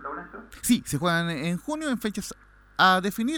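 Fairly quick and lively in intonation, a man speaks in a bright, sharp tone. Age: 40s. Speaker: sports radio producer. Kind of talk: casual chat. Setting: studio.

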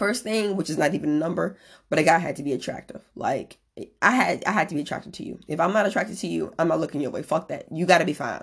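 A woman with an American accent talks at a very fast pace, her lively intonation edged with vocal fry. The background is quiet. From US Midwest, northwest Indiana. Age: 30s. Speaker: podcast host. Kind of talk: casual monologue. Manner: animated.

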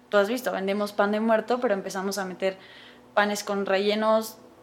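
Noticeable background noise surrounds a woman's voice. She speaks at medium pitch with fairly even intonation. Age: 20s. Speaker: pastry chef and business owner. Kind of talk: interview.

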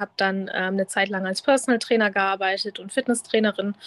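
In a normal speaking voice, someone talks at a moderate pace with fairly even intonation, the sound dry and close with no echo. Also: woman. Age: 30s. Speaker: body-positivity influencer, former fitness trainer. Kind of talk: casual interview.

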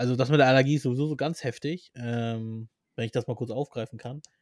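A man's plain, everyday voice at medium pitch and a fairly quick pace, with ordinary pitch variation and a dry, close sound with no echo, on a very clean recording with a silent background. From Armenian family, Persian background. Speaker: podcast co-host. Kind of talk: casual chat.

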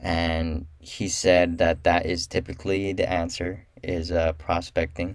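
A man talks in a very deep, low pitch with monotone, flat intonation and hardly any pauses, at a fairly slow pace. The recording is very clean, with a silent background. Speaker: solo podcast host and realtor. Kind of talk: solo podcast monologue. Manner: halting, many fillers.

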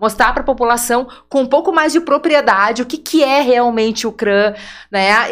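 A woman speaks with a southern Brazilian accent at a high pitch. Her pace is moderate. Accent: gaúcho Brazilian Portuguese. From Porto Alegre, southern Brazil. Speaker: nurse and women's center coordinator. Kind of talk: podcast interview.

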